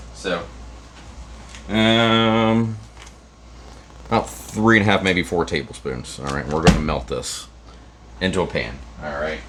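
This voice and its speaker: The speaker sounds upbeat, moving at a fairly slow pace with long, frequent pauses and very wide pitch swings, while audible room echo and noticeable background noise fill the recording. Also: man, very deep, low pitch for a man. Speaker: cooking show host. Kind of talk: cooking tutorial. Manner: casual, upbeat.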